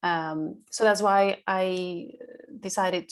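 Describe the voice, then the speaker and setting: A woman speaks with a Spanish accent. Her pitch is fairly low. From Colombia, Bogota. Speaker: sales and insights manager, alum. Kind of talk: panel interview.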